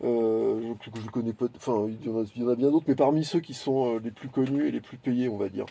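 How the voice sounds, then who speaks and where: A man's dark, mellow voice at a medium pitch, fairly quick with hardly any pauses, ordinary pitch variation and big swings in loudness. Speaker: YouTuber commentator. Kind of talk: unscripted video monologue. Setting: garden greenhouse. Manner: halting, searching for words.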